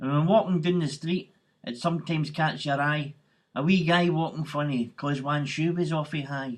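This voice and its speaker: Against a quiet background, the speaker sounds somewhat breathy, keeping a moderate pace and fairly even intonation. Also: man, fairly high pitch for a man. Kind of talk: poetry reading.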